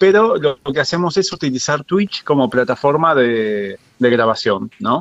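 A man with a fairly high pitch speaks at a fairly slow pace, hardly pausing, with very wide pitch swings and very even loudness. The sound is dry and close with no echo. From Argentina, Mar del Plata. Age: 30s. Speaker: podcaster and streamer. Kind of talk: casual interview. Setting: remote call.

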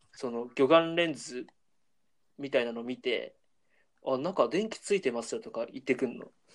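Using an unremarkable speaking voice, a man talks at a moderate pace with a fairly high pitch, lively intonation and big swings in loudness. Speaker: university student, podcast co-host. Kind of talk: casual chat.

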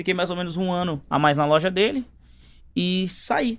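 High pitch for a man, with ordinary pitch variation. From São Paulo, Brazil. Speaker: business owner. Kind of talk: casual interview. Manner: halting.

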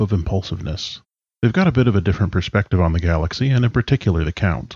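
Over a quiet background, a man speaks very fast and somewhat breathily with lively intonation, the sound dry and close with no echo. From British Columbia, Canada. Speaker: tabletop role-playing podcaster. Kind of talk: prepared interview answers.

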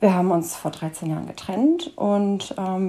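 A woman's fairly low, dark, mellow voice at a moderate pace. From Cologne, Germany. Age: 30s. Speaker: podcaster in addiction recovery. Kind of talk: personal monologue.

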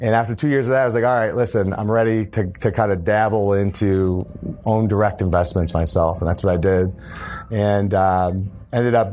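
A man with an American accent, fairly low in pitch, talking at a fairly quick pace with very even loudness over noticeable background noise. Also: ordinary pitch variation. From upstate New York. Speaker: former NFL player and entrepreneur. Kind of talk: interview.

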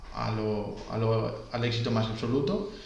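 A man's speech drags along very slowly, with clear room echo and noticeable noise in the background. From Valencia, Spain. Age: 20s. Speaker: podcast co-host, swimming instructor. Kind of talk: casual podcast chat. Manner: some hesitations and fillers.

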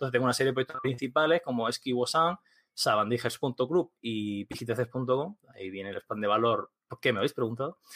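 A man talks at a fairly quick pace in a plain, everyday voice. His medium pitch has ordinary variation, and the sound is dry and close with no echo. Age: 20s. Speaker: tech entrepreneur. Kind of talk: interview.

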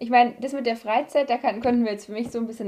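Very fast speech from a woman at a fairly high pitch, with fairly even intonation. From Bavaria. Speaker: podcast host. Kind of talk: casual interview.

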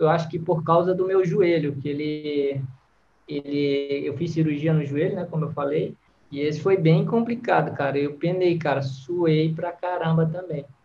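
A man with an unremarkable speaking voice talks at a moderate pace and fairly high pitch, with fairly even intonation. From Brazil, Fortaleza, Ceará. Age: 30s. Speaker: freestyle football influencer, ex-athlete. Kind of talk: casual interview.

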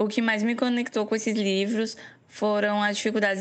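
A woman's fairly high voice holds a monotone, flat intonation at a moderate pace. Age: 20s. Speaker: mother and book club member. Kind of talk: recorded voice message.

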